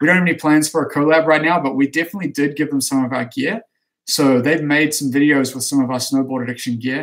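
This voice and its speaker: A man speaks at a very fast pace with a fairly high pitch. His intonation stays fairly even. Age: 30s. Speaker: snowboard coach and company owner. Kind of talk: live stream Q&A reading chat questions. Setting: office, live stream. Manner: casual, with frequent fillers.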